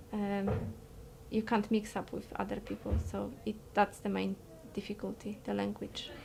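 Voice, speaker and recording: A woman speaks with a Polish accent. Her pace is moderate. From Poland. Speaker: interviewee. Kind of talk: interview. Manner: halting, repeated words.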